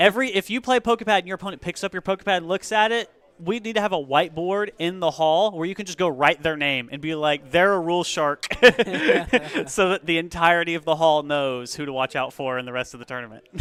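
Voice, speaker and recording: Loud and very fast, the voice has lively intonation, and the sound is dry and close with no echo. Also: man, high pitch for a man. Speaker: stream commentator at card game store. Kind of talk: casual chat.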